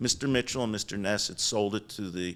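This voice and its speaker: In a very clean recording with a silent background, a man talks with a Philadelphia accent. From Philadelphia area, Delaware County. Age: 70s. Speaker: business founder. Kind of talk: interview storytelling.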